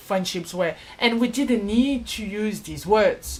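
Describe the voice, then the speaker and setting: Somewhat breathy and fairly high in pitch, a woman with a French accent speaks at a very slow pace. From France. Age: 20s. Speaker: vlogger. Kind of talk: personal vlog.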